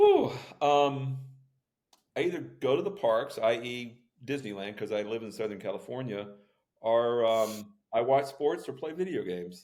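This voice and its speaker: With lively intonation and audible room echo, a man talks at a moderate pace and a medium pitch. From Florida. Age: 60s. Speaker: author and keynote speaker. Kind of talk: podcast interview.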